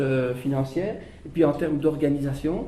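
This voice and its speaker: A man's fairly high voice is heard with clear background noise and an audible echo from the room. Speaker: social enterprise leader. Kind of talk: panel discussion. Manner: animated; halting.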